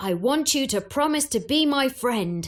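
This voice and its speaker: A woman puts on a growling character voice, high-pitched and delivered at a moderate pace. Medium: read story.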